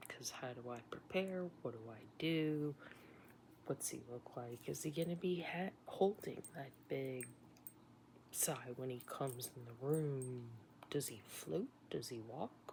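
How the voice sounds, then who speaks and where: This woman speaks at a very slow pace in a very deep, low pitch, somewhat breathy, with big swings in loudness. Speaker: nurse recounting illness. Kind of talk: personal storytelling monologue.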